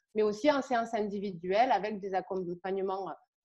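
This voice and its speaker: Her tone dark and mellow, a woman speaks at a fairly quick pace and medium pitch with fairly even intonation. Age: 30s. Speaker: therapist and energy healer. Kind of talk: interview. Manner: hesitant, many fillers.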